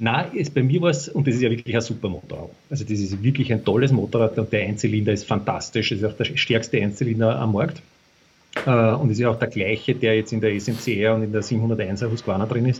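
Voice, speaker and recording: A man's somewhat breathy voice sits at a medium pitch, moving at a fairly quick pace with ordinary pitch variation. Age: 50s. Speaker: former motorcycle racer. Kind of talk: casual interview. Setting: remote call from country house. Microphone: poor internet connection.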